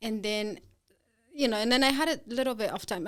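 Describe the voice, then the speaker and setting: A woman speaks with a Peruvian accent. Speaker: business owner. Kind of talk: interview. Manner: halting.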